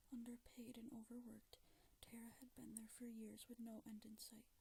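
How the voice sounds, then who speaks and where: Soft-spoken, a woman talks at a moderate pace. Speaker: ASMR creator. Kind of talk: ASMR story reading, creepypasta narration.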